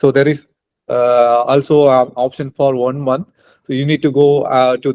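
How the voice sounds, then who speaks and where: At a moderate pace, a man with an Indian accent speaks at a medium pitch with monotone, flat intonation. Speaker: international student and student mentor. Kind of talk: interview conversation. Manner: hesitant, many fillers.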